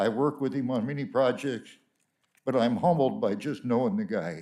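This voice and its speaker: A man with an American accent, medium pitch, very wide pitch swings, vocal fry and a moderate pace. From California. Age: 90s. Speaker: honoree. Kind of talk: speech. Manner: halting.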